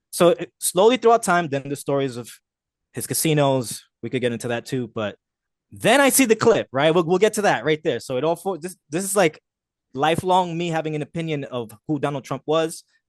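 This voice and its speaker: Over a quiet background, a man talks at a fairly quick pace with lively intonation, the sound dry and close with no echo. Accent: New Jersey. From New Jersey, Jersey City. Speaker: street photographer. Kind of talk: casual chat.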